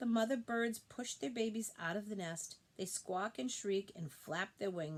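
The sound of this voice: In an unforced reading voice, the speaker uses ordinary pitch variation.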